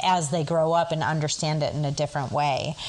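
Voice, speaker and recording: A woman's fairly low-pitched voice at a moderate pace, with fairly even intonation and noticeable background noise. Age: 40s. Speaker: sex therapist. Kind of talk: interview.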